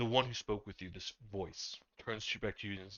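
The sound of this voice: Unforced reading voice, nothing more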